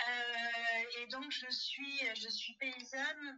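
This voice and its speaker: A woman speaks at a very slow pace. Her pitch sits high. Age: 40s. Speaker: farmer. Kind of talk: testimony. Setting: phone call. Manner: halting.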